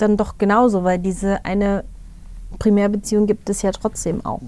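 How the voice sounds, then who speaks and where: A woman speaks in a dark, mellow tone. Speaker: podcast co-host. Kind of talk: casual chat. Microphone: poor sound quality this episode.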